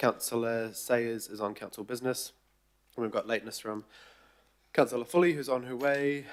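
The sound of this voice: Croaky at a medium pitch, a man speaks at a moderate pace with fairly even intonation.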